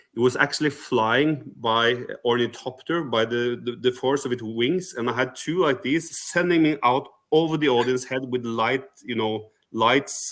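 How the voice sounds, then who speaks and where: A man speaks with a Norwegian accent. His pitch is medium. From Norway. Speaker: rock singer, contest entrant. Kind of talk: interview. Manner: halting, many fillers.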